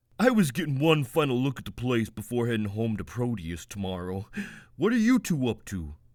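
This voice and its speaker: A put-on character voice comes through in a very clean recording with a silent background. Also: man, medium pitch for a man, fairly quick pace. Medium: read story.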